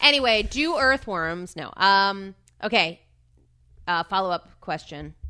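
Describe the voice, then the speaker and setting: A woman with a bright, sharp tone speaks fairly slowly at a medium pitch, her intonation lively. She takes long, frequent pauses against a quiet background. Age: 30s. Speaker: podcast co-host. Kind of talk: casual chat.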